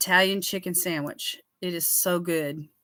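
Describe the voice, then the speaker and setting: In a Southern US accent, a woman speaks at a fairly slow pace with a fairly low pitch and a bright, sharp tone, on a very clean recording with a silent background. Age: 60s. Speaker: skincare livestreamer. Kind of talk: casual chat. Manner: animated.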